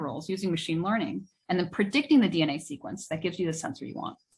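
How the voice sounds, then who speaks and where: Over a quiet background, the speaker talks very fast in a somewhat breathy voice. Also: woman. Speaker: research scientist, group leader. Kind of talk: lecture.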